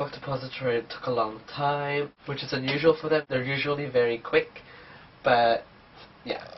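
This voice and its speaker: At a moderate pace, a man speaks in a monotone, flat intonation over noticeable background noise. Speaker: book vlogger. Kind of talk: casual vlog, book haul. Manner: casual, hesitant with fillers.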